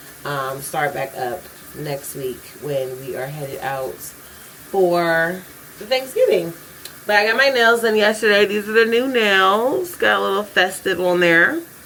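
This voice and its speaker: Her pitch swings very widely as the woman speaks over noticeable background noise. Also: medium pitch for a woman. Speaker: vlogger. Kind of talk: casual vlog talk. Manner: fast, rushed; occasional stuttering.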